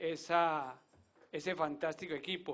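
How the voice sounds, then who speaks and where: A man's high-pitched voice at a very slow pace. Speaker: business executive introducing speaker. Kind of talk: formal introduction.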